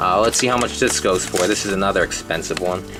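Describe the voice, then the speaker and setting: There is music behind the speech. The man's intonation stays fairly even. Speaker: video game collector. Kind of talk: casual collection showcase. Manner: hesitant, many filler words; fast.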